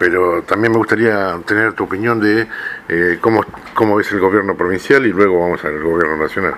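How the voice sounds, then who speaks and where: With noticeable background noise behind him, a man speaks with fairly even intonation. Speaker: radio host. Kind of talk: radio interview.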